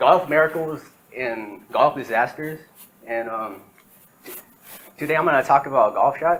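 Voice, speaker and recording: At a moderate pace with long, frequent pauses, a man talks in a fairly high pitch with ordinary pitch variation. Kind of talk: class presentation. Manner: hesitant, many fillers.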